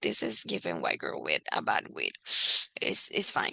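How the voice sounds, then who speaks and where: In a dry, close recording with no echo, a woman with a non-native accent speaks at a fairly slow pace. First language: not English. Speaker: reality TV commentator. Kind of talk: casual recap monologue. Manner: hesitant, many fillers.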